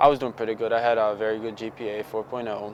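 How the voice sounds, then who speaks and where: A man with a Bosnian accent talks at a very fast pace in a medium pitch with monotone, flat intonation. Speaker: former client. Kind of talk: testimonial interview.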